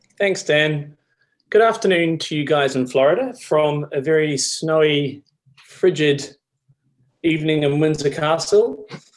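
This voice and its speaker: This man's voice is fairly high-pitched, with ordinary pitch variation. He speaks at a fairly slow pace. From New Zealand. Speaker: choral singer. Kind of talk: casual introduction on video.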